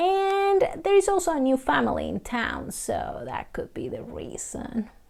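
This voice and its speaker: There is noticeable background noise. A woman speaks at a fairly slow pace. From Colombia. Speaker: storyteller. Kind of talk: told folktale.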